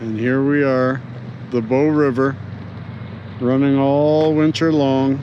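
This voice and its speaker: Over noticeable background noise and audible room echo, a man with a fairly high voice speaks very slowly in a flat monotone, with long, frequent pauses. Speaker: vlogger. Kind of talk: casual outdoor vlog. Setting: outdoors by a river in a park. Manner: pauses often, stalls in speech.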